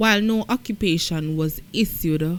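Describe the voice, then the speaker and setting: A woman in a Jamaican accent, at a very slow pace with ordinary pitch variation. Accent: Jamaican, patois-inflected. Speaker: news commentator. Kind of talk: news commentary.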